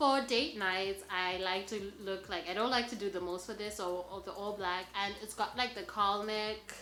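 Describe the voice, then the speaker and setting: A woman speaks at medium pitch with a non-native accent and ordinary pitch variation. Her moderate pace has hardly any pauses, and the room echo is audible. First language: not English. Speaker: fashion vlogger. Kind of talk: styling tutorial. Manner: casual, filler-heavy (lots of 'like'); enthusiastic.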